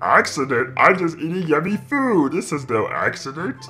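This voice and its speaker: At a moderate pace and a middle pitch, the voice comes through over light background noise. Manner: dopey, food-obsessed.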